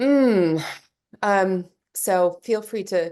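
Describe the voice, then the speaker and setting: A woman with a medium pitch and a dark, mellow tone speaks against a quiet background. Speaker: podcast host. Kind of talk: interview. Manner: halting.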